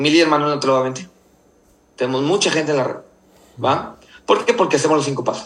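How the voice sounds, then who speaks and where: The delivery is very fast, yet broken by long, frequent pauses. Pitch varies in an ordinary way. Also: man, fairly high pitch for a man. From Mexico, Nayarit. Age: 30s. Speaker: network marketing leader. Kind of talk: business mentoring talk.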